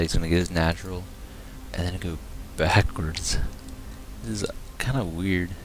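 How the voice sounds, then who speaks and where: A quiet man with a very deep, low pitch and lively intonation, talking at a fairly quick pace over noticeable background noise. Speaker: game caster. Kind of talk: live commentary. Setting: at home, others sleeping. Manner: casual.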